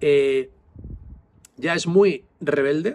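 A man is speaking. His tone is animated. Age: 40s. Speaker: psychologist and vlogger; vlogger. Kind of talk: casual vlog monologue. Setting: outdoors. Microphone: phone near.

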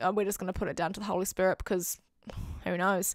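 A woman speaks with a New Zealand accent. The sound is dry with no echo, and the background is quiet. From New Zealand, Auckland. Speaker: YouTuber. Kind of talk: testimony. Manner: animated. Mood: warm, animated, sincere. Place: home room. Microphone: handheld.

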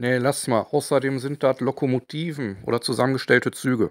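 Recorded very cleanly with a silent background and a dry, close sound with no echo, a man with a Ruhr accent talks at a moderate pace and medium pitch. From Ruhr area, Germany. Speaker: model-building and industrial-heritage video maker. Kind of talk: casual talk to camera.

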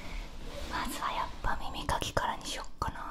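Over noticeable background noise, a woman whispers in a soft-spoken way. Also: moderate pace. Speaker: ASMR creator. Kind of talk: soft ASMR intro chat. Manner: soft close whisper into ear. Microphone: studio mic.

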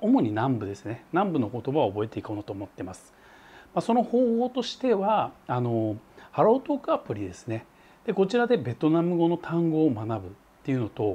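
Fairly high in pitch yet dark and mellow in tone, a man talks at a fairly quick pace with very wide pitch swings and big swings in loudness. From Japan. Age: 40s. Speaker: travel vlogger. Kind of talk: vlog monologue. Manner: casual, filler-heavy. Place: home room. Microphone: lapel.

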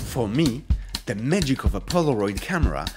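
A man speaks at a moderate speed while music plays behind him. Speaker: video creator. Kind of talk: casual vlog chat. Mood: warm, playful. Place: home room.

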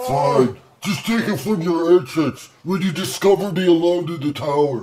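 A man uses a cartoonish character voice, pitched high, at a moderate pace. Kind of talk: comedy dialogue.

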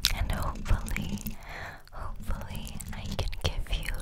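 A woman is heard over loud background noise. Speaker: ASMR creator. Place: home room. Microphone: studio mic.

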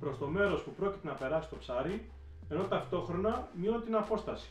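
Faint background music and audible room echo accompany a man speaking at a moderate pace. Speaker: spearfishing instructor. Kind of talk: video introduction, narrated summary. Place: home room. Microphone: camera far.

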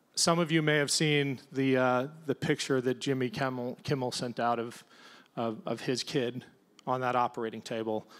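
A man with an American accent and a plain, everyday voice speaks at a medium pitch and moderate pace, with fairly even intonation. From Ohio. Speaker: congressional candidate, Navy veteran; panelist. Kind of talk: panel discussion. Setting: stage with audience. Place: stage. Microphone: handheld.

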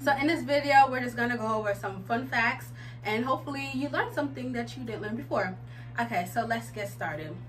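A woman at a very fast pace, with faint music in the background. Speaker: family video host. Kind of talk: casual vlog chat. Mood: cheerful, playful. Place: home room. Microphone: camera far.

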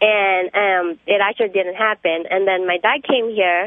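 A woman speaks with fairly even intonation in a dry, close sound with no echo. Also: medium pitch for a woman, moderate pace.

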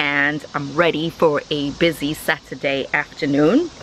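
The recording is dry, with no echo and light background noise. A woman speaks at a fairly slow pace. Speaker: family vlogger. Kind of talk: casual vlog chat. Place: garden. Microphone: phone near.

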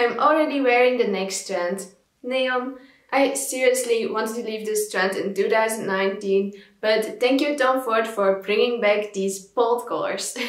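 A woman talks at a moderate pace in a fairly high pitch with fairly even intonation. Room echo is audible, though the background stays quiet. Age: 20s. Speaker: fashion vlogger. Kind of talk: scripted narration.

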